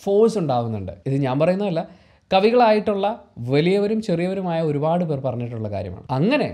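Against a quiet background, a man speaks at a high pitch with a dark, mellow tone. His pitch swings very widely. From Kerala, India. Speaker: YouTube vlogger; video commentator. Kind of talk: commentary monologue. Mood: earnest, reflective. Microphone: lapel.

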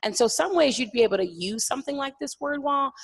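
A woman with a plain, everyday voice, lively intonation and a fairly quick pace, over a quiet background. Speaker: elementary school science teacher. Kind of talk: classroom-practice presentation. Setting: stage with audience. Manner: casual, frequent fillers like 'like'. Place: hall.

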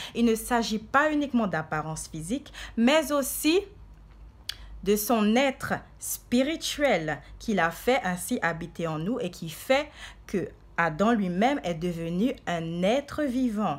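Speaking at a very slow pace, a woman moves through very wide pitch swings. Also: medium pitch for a woman. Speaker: preacher. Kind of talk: sermon. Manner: fervent, declamatory preacher in full flow, urgent rising cadence; earnest, exhorting the flock with repeated 'bien aimé'. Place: home room. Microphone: phone near.

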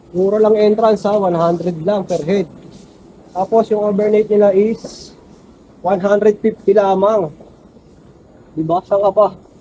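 Speaking at a fairly slow pace with long, frequent pauses, a man uses a high pitch and a monotone, flat intonation over noticeable background noise. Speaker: travel vlogger. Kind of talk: vlog narration. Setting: outdoors, cycling.

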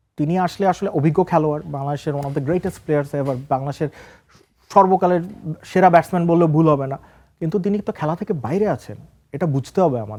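The man has a fairly high pitch, ordinary pitch variation and a dark, mellow tone. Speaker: senior sports journalist. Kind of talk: studio talk show interview. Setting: TV studio.

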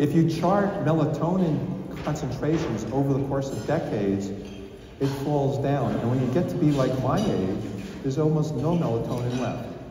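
Noticeable background noise and audible room echo surround a man's voice. His pitch is fairly high, with ordinary pitch variation and a moderate pace. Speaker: physician. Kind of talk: lecture. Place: hall. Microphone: podium.

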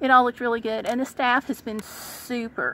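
Speaking at a moderate pace, a woman has a high pitch, and the sound is dry with no echo. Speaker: vlogger. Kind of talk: casual vlog chat. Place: car. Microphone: phone near.

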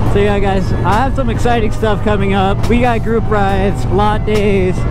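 Over background music, a man speaks in a dry sound with no echo. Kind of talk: casual vlog chat. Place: motorbike. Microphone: helmet.

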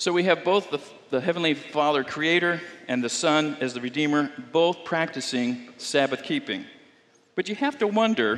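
A man's fairly high-pitched voice at a moderate pace, with ordinary pitch variation. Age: 60s. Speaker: pastor. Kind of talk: sermon. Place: church.

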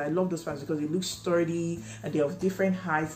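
Over faint music in the background, a woman with a very deep, low pitch talks at a fairly quick pace with ordinary pitch variation. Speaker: home baker vlogger. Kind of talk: casual vlog chat. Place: home room.

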